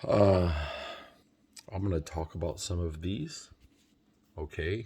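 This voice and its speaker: A soft-spoken man's very deep, low voice, dark and mellow in tone and somewhat breathy, at a very slow pace with ordinary pitch variation. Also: very clean recording, silent background. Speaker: vlogger researching trucking lease purchase programs. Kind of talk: casual vlog tutorial. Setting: at home.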